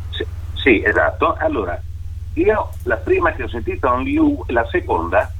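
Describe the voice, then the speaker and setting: Amid noticeable background noise, a man speaks at a fairly slow pace with long, frequent pauses. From north-east Italy (Venezia Giulia). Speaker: voice actor. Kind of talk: interview.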